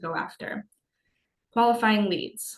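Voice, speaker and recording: A woman is speaking. Her intonation is fairly even. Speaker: business webinar presenter. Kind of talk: webinar lecture. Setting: online webinar. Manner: fast.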